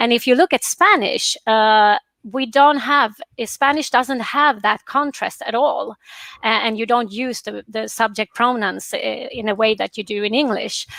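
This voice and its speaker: Bright and sharp, a woman's high voice comes at a fairly slow pace with a Swedish accent and ordinary pitch variation, on a very clean recording with a silent background and a dry, close sound with no echo. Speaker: professor. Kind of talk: panel discussion. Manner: halting.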